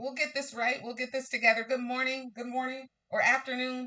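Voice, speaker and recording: A woman's loud, high-pitched voice comes through with a bright, sharp tone. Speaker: crafting livestream host. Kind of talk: live crafting tutorial. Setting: livestream with camera.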